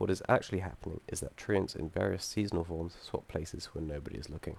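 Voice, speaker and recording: The voice carries vocal fry. It moves at a very fast pace. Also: man, very deep, low pitch for a man, ordinary pitch variation. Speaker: student game developer. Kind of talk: software demo presentation. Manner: halting with many fillers.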